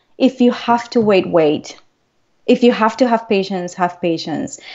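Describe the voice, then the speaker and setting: In a non-native accent, a woman speaks with a fairly high pitch and lively intonation. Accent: foreign. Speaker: transformational coach. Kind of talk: interview. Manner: animated.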